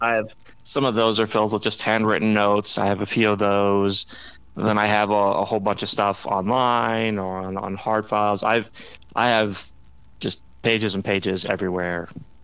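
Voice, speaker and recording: In an American accent, a man speaks at a fairly low pitch and moderate pace with monotone, flat intonation. The recording is very clean, with a silent background. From US Midwest. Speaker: author and former newspaper reporter. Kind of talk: casual interview.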